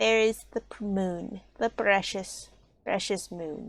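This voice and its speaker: A woman's put-on character voice at medium pitch and a fairly slow pace. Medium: game stream. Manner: mournful, formal.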